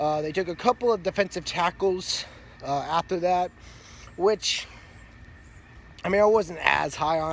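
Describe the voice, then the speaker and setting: Long, frequent pauses break up speech delivered with fairly even intonation. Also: man. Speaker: sports fan commentator. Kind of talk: casual talk to camera.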